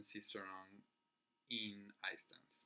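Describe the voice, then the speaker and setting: A man with a Spanish accent, a bright, sharp tone and a very slow pace. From Chile. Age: 20s. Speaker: figure skating vlogger. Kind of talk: casual chat. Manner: halting.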